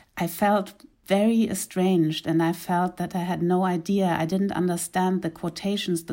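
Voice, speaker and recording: In a German accent, a woman talks at a moderate pace with fairly even intonation. Her fairly low voice has a dark, mellow tone, captured in a very clean recording with a silent background. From East Africa (Uganda and Kenya). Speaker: graphic novelist. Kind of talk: interview.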